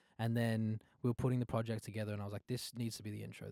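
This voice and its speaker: A man's fairly low voice at a very fast pace, monotone and flat in intonation, with a dry, close sound and no echo. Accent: Australian. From Australia. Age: 20s. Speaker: singer-songwriter. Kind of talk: casual interview. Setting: studio couch.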